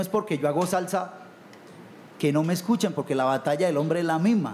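A man speaks with a high pitch. There is noticeable background noise. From Colombia, Buenaventura (Pacific coast). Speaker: salsa singer. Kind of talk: panel discussion.

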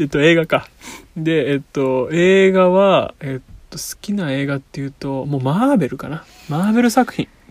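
Here a man with a fairly high pitch speaks at a moderate pace, his intonation lively and his loudness swinging widely. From Kanagawa, Shonan area, Japan. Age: 20s. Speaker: podcast host. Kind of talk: casual chat. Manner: hesitant, filler-heavy.

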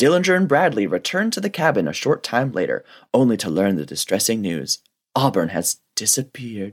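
At a fairly quick pace, a man with a medium pitch and vocal fry makes very wide pitch swings. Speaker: romance book podcast co-host. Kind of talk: casual comedic chat with plot recaps. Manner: hesitant, filler-heavy.

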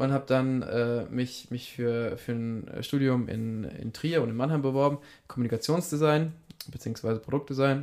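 A man talks in a normal speaking voice at a medium pitch. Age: 20s. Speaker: shopfitting entrepreneur in family business. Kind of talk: casual interview.

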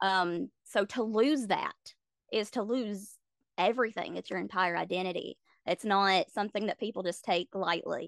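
With an American accent, a woman of medium pitch speaks in an unremarkable speaking voice at a moderate pace, with ordinary pitch variation and a dry, close sound with no echo. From South Carolina. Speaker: content creator and practicing witch. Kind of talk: interview conversation. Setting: podcast interview.

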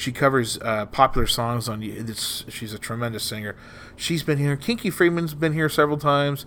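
In an American accent, a man with a fairly high pitch speaks at a moderate pace. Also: ordinary pitch variation. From Texas Gulf Coast, Corpus Christi. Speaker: stand-up comedian and comedy club owner. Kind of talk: casual chat.

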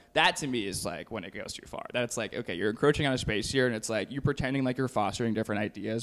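A man's medium-pitched voice with vocal fry and an American accent, very fast, with ordinary pitch variation. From Texas. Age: 20s. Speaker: film student. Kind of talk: casual chat. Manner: animated.

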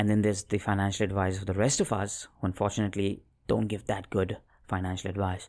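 A fairly low, dark, mellow male voice at a fairly quick pace, in a very clean recording with a silent background. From Mumbai, India. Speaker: financial advice company founder. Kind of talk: casual interview chat. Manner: halting, stammers.

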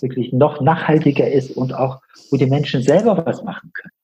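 A man speaks with a plain, everyday voice at a fairly high pitch. His pace is moderate, with ordinary pitch variation. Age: 60s. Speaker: healer and coach, former engineer. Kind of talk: interview.

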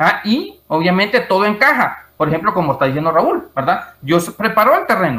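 Raising and projecting his voice, a man speaks at a high pitch and a moderate pace with very wide pitch swings. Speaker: IT expert and writer. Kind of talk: interview testimony. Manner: hesitant, many fillers.

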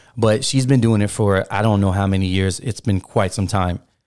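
Fairly low in pitch with fairly even intonation, a man's unremarkable speaking voice moves at a moderate pace in a very clean recording with a silent background. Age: 30s. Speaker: podcast co-host. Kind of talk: casual chat.

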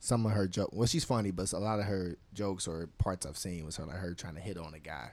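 Very fast and with hardly any pauses, a man with a very deep, low voice talks with ordinary pitch variation and big swings in loudness. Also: very clean recording, silent background. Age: 20s. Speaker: podcast co-host. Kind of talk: casual chat.

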